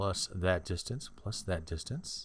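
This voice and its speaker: Speaking at a fairly slow pace, a man uses lively intonation in a somewhat breathy voice. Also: very clean recording, silent background. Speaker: math tutor. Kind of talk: tutorial. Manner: slow, deliberate.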